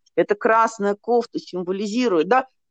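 Dry, close sound with no echo and a woman speaking at a moderate pace. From Russia, Nizhny Novgorod. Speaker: psychologist and hypnotherapist. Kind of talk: interview.

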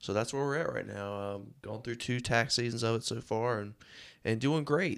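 A man speaks at a medium pitch in an eastern North Carolina accent. His pitch varies in an ordinary way, on a very clean recording with a silent background. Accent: US Southern (eastern North Carolina). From North Carolina (Rocky Mount). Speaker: podcast host and accountant. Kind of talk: casual monologue.

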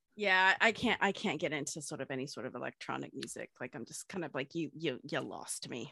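A woman speaks in a very deep, low voice with vocal fry, animated and fairly quick, her loudness swinging widely. The sound is dry and close with no echo over a quiet background. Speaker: podcast co-host. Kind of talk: casual chat. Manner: animated, excitable.

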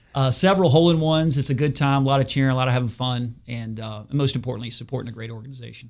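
With an American accent, a man talks at a very fast pace with hardly any pauses, big swings in loudness and ordinary pitch variation, on a very clean recording with a silent background. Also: medium pitch for a man. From Martinsburg, West Virginia. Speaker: insurance agent. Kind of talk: radio interview. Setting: studio.

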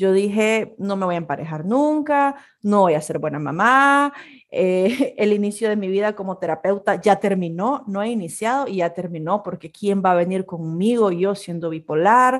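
In a very clean recording with a silent background, a woman talks at a medium pitch and moderate pace with lively intonation. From Nicaragua. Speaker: podcast co-host, communicator and photographer. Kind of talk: casual chat.

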